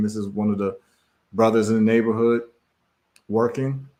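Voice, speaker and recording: The background is silent and the recording very clean. A man's medium-pitched voice carries fairly even intonation. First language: Twi. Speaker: livestream host and businessman. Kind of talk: casual live stream talk. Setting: live stream.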